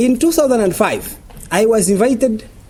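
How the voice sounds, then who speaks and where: This man has a non-native accent. He talks with lively intonation. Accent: foreign. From Uganda. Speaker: journalist and lecturer. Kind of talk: lecture. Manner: fast.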